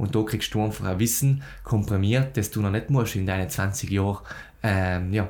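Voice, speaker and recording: A man speaks in an ordinary speaking voice, fairly low in pitch. He keeps a moderate pace. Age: young. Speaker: podcast host, agency founder. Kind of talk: podcast interview.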